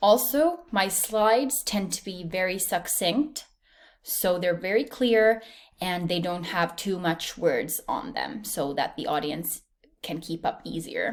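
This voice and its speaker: A woman talks at a very slow pace. Her intonation is lively. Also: medium pitch for a woman. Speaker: university student. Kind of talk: recorded presentation. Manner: clear.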